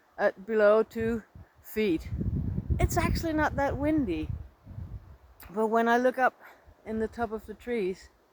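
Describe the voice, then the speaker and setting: At a fairly slow pace with long, frequent pauses, a woman speaks at a fairly high pitch with ordinary pitch variation, in a dry, close sound with no echo over noticeable background noise. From Denmark. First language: Danish. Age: 60s. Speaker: nature vlogger. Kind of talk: casual vlog narration. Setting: outdoors in a forest. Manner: relaxed, calm.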